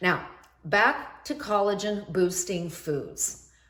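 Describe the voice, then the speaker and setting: A woman at a medium pitch and a fairly slow pace, with audible room echo. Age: 60s. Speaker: anti-aging skincare expert, video host. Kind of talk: tutorial.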